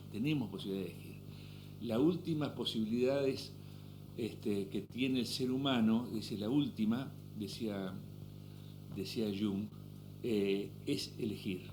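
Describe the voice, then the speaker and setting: The voice has an Argentine accent, a dark, mellow tone and vocal fry, moving at a fairly slow pace. Long, frequent pauses break it up, and the room echo is audible. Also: man, fairly low pitch for a man, ordinary pitch variation. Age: 60s. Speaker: businessman and author. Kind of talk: interview conversation.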